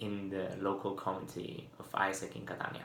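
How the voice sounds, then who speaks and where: In a space with audible room echo, a man speaks at a moderate pace and fairly low pitch. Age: 20s. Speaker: university student. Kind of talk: video application statement. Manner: hesitant, with fillers.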